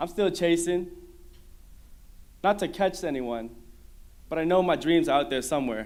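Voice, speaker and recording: A man with a high pitch talks at a moderate pace. His intonation is lively. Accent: American. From Minnesota. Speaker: mentor and former student speaker. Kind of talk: prepared speech.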